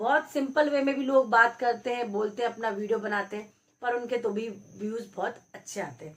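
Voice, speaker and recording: Her pitch is fairly high with ordinary variation. The woman keeps a moderate pace. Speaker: YouTube creator giving advice. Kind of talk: motivational talk to camera.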